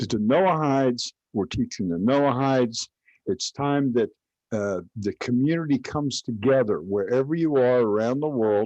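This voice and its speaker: A man's dark, mellow voice at a moderate pace, dry and close with no echo. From Kentucky. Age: 70s. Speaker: religious teacher. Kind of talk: online class. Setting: live stream. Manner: halting.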